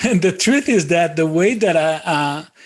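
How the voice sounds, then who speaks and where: A man speaks with a Brazilian accent. His pace is moderate. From southern Brazil, Florianópolis. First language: Portuguese. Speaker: podcast guest. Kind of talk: casual interview. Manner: halting, many fillers.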